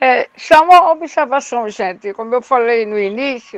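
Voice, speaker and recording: The delivery is very slow, with lively intonation. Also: woman. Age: 60s. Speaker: community resident. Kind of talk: online class discussion.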